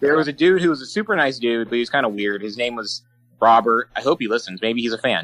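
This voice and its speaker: A man talks at a very fast pace. His medium-pitched voice has a bright, sharp tone. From Alaska. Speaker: podcast co-host. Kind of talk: casual chat. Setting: online voice call.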